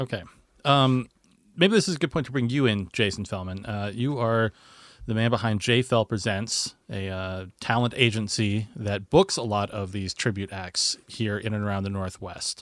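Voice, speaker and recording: In a very clean recording with a silent background, a man with an unremarkable speaking voice talks at a moderate pace, his fairly low pitch showing ordinary variation. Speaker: radio host. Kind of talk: radio DJ patter, polished scripted show intro. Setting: radio studio. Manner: smooth, upbeat, brisk, broadcast-clear.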